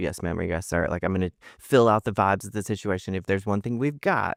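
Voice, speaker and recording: Fairly low in pitch with ordinary variation, a man speaks in a Southern US accent on a very clean recording with a silent background and a dry, close sound with no echo. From US South, Mississippi. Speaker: comedian and author. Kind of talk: casual chat. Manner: halting, many restarts.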